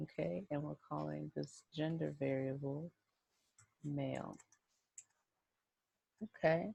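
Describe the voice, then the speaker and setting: A woman whispers quietly at a very slow pace, the sound dry and close with no echo. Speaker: statistics instructor. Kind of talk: screen-recorded software tutorial. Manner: whispered, quiet.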